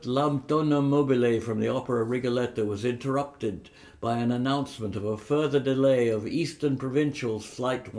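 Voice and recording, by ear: Natural-voiced reading aloud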